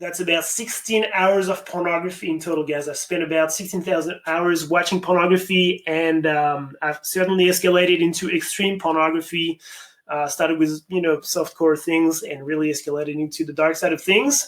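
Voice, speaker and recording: Talking at a fairly quick pace with hardly any pauses, a man holds a high pitch. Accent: slight French. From France, near Paris. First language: French. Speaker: addiction recovery coach. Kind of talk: webinar presentation. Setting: online webinar. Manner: fast; animated.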